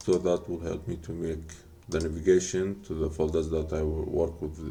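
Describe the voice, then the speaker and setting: Noticeable background noise sits behind the speech. The speaker talks at a fairly slow pace with a non-native accent. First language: not English. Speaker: game developer. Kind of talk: tutorial. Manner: halting.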